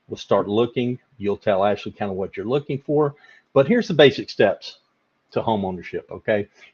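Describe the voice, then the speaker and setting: A man talks with lively intonation. The recording is dry and close with no echo. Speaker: mortgage lender. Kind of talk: live webinar presentation. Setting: live online webinar. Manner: fast.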